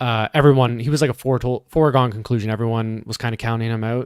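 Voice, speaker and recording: In a very clean recording with a silent background and a dry, close sound with no echo, a man with a Canadian accent speaks at a fairly quick pace in an unremarkable speaking voice at medium pitch. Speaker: fitness commentator. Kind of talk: live commentary. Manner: casual, conversational.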